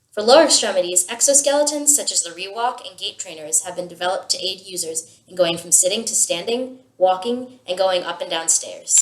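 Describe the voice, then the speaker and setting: A woman with an American accent and an ordinary speaking voice talks at a fairly quick pace with hardly any pauses. Her medium-pitched voice has lively intonation and big swings in loudness. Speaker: student. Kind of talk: scripted video presentation. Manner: formal.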